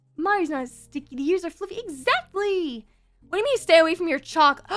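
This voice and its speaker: The voice swings very widely in pitch as music plays in the background. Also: woman. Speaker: vtuber streamer. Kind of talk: casual chat.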